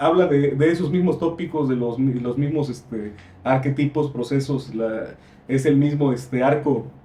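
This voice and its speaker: Somewhat breathy, this man's voice has a dark, mellow tone and a fairly high pitch. He moves at a moderate pace. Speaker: visual artist. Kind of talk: casual discussion. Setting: library. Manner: halting.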